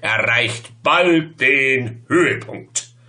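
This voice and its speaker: A man's voice with lively intonation. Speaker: poet. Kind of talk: poetry reading. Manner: playful, humorous. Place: home room. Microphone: webcam.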